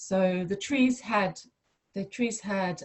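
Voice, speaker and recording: Here is a woman whose voice is somewhat breathy. Her pitch varies in an ordinary way. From mid Wales. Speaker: plant medicine practitioner. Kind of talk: personal introduction on video call. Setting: video call. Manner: measured; hesitant, many fillers.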